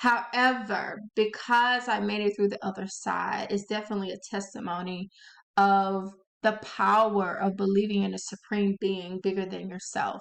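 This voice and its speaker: In a strong Southern US accent, a woman speaks at a moderate pace with a medium pitch and monotone, flat intonation. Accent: thick Southern. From US South, Louisiana. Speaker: author and channel host. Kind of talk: casual talk to camera. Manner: expressive; hesitant with fillers.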